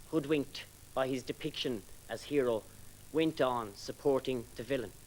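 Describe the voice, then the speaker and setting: With an Irish accent, a man speaks at a medium pitch. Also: ordinary pitch variation, moderate pace. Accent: Irish (Galway). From Ireland, East Galway. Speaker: poet. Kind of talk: poetry reading; introduction between poems.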